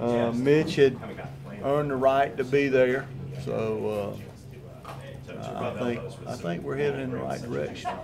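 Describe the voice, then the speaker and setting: With audible room echo and noticeable background noise, a man of medium pitch speaks at a fairly slow pace. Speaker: football offensive line coach. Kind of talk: press interview. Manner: loud and boisterous.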